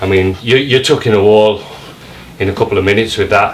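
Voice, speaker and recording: Over light background noise, a man speaks at a moderate pace in a fairly low pitch. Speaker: carpet fitter reviewing tools. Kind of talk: tool review commentary. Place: home room. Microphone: camera far.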